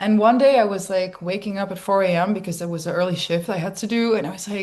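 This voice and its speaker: A woman speaks with a Dutch accent at a very fast pace. Her intonation stays fairly even. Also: medium pitch for a woman. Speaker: DJ and producer. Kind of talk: interview conversation. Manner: casual, filler-heavy.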